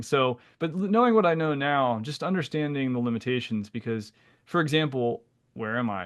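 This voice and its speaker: A man with an ordinary speaking voice talks at a fairly quick pace, his pitch varying in an ordinary way. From Pennsylvania, US. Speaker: naturopathic physician, podcast co-host. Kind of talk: casual conversational podcast discussion. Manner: casual, with frequent fillers and repetitions.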